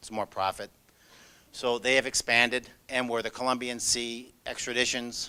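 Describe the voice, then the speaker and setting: A man at medium pitch speaks in a bright, sharp tone with big swings in loudness. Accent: Chicago. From US Midwest, Chicago. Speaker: law enforcement agent. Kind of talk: presentation. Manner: fast.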